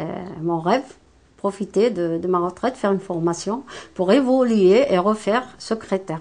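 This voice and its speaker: A woman's medium-pitched voice at a moderate pace, ordinary pitch variation, and long, frequent pauses. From Morocco. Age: 60s. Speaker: retired immigrant worker. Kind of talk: testimony. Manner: halting, many hesitations.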